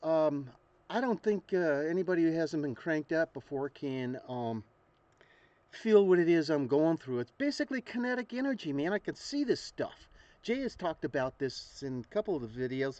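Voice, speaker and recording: The man's voice is fairly high in pitch, with a dark, mellow tone. His pitch swings very widely. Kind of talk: casual talk to camera. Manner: hesitant, rambling.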